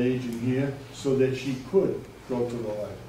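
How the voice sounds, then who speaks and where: A man is speaking. Audible room echo and noticeable background noise come through. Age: 70s. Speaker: resident speaking at town meeting, former selectman. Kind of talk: public comment at community meeting. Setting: public meeting in a library. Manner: halting, with many fillers.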